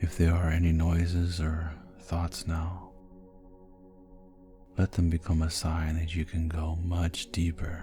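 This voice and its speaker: With music in the background, a man speaks at a very slow pace in a very deep, low pitch, flat and monotone, with long, frequent pauses. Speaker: hypnotist. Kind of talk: sleep hypnosis. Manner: slow, soft-spoken.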